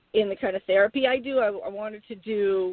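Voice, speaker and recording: In an American accent, a woman talks at a moderate pace and medium pitch with fairly even intonation in an ordinary speaking voice. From Boston, New England. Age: middle-aged. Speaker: author, healer and therapist. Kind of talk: casual interview chat.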